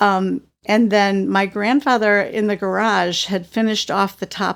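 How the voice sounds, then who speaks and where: A woman with an ordinary speaking voice and medium pitch talks at a fairly slow pace with fairly even intonation on a very clean recording with a silent background. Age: 60s. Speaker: adoptee sharing life story. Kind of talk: interview testimony.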